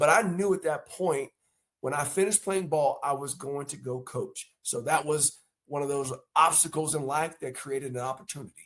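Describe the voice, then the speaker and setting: A man speaks at a moderate pace with an unremarkable speaking voice. His pitch is fairly high, with ordinary variation. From North Carolina. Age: 50s. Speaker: former pro football player and coach. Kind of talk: interview.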